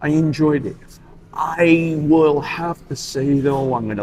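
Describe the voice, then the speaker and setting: Noticeable background noise sits behind a man with a New York accent. He speaks at a very slow pace. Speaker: cigar club member. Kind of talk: casual chat. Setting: cigar lounge.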